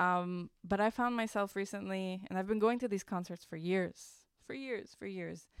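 A woman's plain, everyday voice with an American accent, medium in pitch, at a moderate pace with fairly even intonation, on a very clean recording with a silent background. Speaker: radio host and university media manager. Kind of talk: casual interview.

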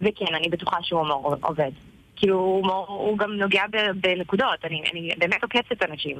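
Moderate-paced speech from a woman, fairly low in pitch with ordinary pitch variation. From Israel, Tel Aviv. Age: 20s. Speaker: social media content creator. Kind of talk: interview. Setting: on a train.

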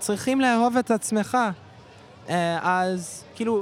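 A man with a high pitch, at a very slow pace. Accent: English. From Canada, Toronto. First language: English (speaking Hebrew). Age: 20s. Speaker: volunteer math teacher. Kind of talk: street interview. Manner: halting.

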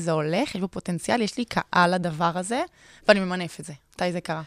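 A woman with a fairly low pitch talks at a fairly quick pace with ordinary pitch variation in an unremarkable speaking voice. The sound is dry and close, with no echo. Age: 20s. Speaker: podcast host and travel blogger. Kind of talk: casual interview.

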